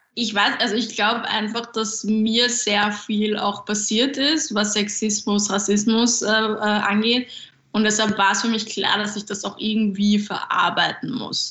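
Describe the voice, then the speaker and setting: Over noticeable background noise and audible room echo, a woman with a fairly high pitch speaks at a fairly slow pace in a monotone, flat intonation. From Austria, Vienna. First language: Japanese (bilingual with German) (speaking German). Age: 20s. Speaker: stand-up comedian. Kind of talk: interview.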